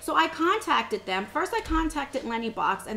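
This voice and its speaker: A woman speaks over noticeable background noise. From USA. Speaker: beauty vlogger. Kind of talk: casual review vlog. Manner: fast.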